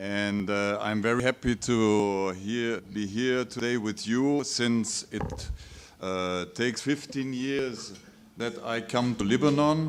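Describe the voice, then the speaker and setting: Very slowly, a man with a German accent speaks at a medium pitch with ordinary pitch variation, amid noticeable background noise. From Germany, Munich. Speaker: professor. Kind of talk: conference talk.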